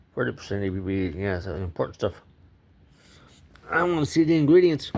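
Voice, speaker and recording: At a fairly quick pace, a man with a fairly low pitch sounds relaxed while his voice makes very wide pitch swings. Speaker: YouTuber reviewing drinks. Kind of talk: casual vlog review. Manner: relaxed, rambling.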